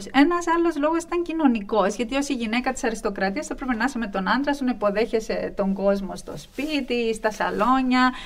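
A woman with a high-pitched voice and lively intonation speaks against noticeable background noise. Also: moderate pace. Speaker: associate professor of Byzantine studies. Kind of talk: interview. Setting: studio.

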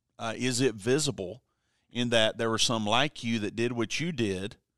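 A man with a plain, everyday voice speaks at a fairly slow pace and medium pitch, his intonation fairly even, over a quiet background. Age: 40s. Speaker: senior pastor. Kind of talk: casual chat.

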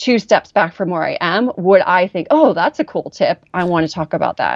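A woman talks with an American accent. Her pitch is medium. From Southern California, Orange County. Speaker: former teacher turned entrepreneur. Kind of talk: interview.

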